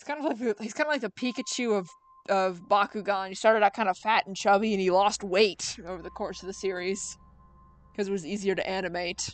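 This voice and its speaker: A very fast woman's voice with an American accent, medium pitch, ordinary pitch variation, big swings in loudness, and music in the background. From United States. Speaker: streamer drawing artist. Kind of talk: casual live stream chat.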